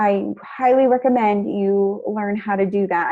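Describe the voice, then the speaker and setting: A woman with an unremarkable speaking voice, fairly high in pitch, with fairly even intonation. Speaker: college instructor. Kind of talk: tutorial.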